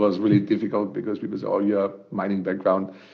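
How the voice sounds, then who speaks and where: A man's fairly low voice with a strong German accent at a very fast pace. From Germany. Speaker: startup co-founder. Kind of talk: podcast interview. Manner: hesitant, many fillers and repetitions.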